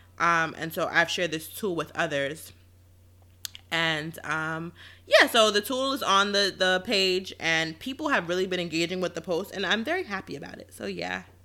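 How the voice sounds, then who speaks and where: A woman speaks in a bright, sharp tone. Her pace is moderate and her pitch varies in an ordinary way. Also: fairly low pitch for a woman. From New York City (Queens). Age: 20s. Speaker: podcast co-host. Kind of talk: casual chat.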